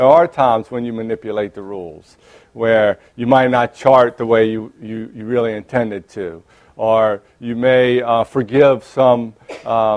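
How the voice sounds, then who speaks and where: A man speaks fairly slowly at a medium pitch with fairly even intonation. His loudness swings a lot. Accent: New Orleans. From New Orleans, Louisiana. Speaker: clinical psychologist and lecturer. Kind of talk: lecture. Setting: conference room with audience, microphone. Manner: hesitant, many fillers and restarts.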